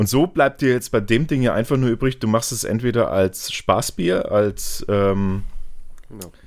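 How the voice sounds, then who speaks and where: Speaking fairly slowly in a Franconian accent, a man uses a medium pitch with ordinary pitch variation. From Franconia, Germany. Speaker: beer YouTuber. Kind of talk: casual chat.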